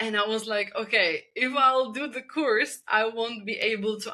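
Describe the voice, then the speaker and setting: A woman with a Czech accent, a fairly high pitch, a bright, sharp tone, ordinary pitch variation and a moderate pace. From Czech Republic. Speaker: spinal energetics practitioner. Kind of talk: podcast interview.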